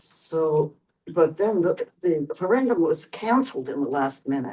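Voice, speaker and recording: A woman speaks with a dark, mellow tone and a fairly low pitch. Her pitch swings are very wide. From Vienna, Austria. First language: German. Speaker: Holocaust survivor. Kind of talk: testimony. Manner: halting, with many fillers.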